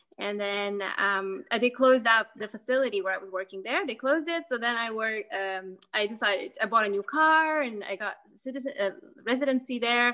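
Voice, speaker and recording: The tone is bright and sharp. The pace runs fairly quick, with ordinary pitch variation. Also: woman, fairly high pitch for a woman. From Mexico and Canada, Lithuanian-born. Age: 30s. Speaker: university student, podcast guest. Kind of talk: casual interview.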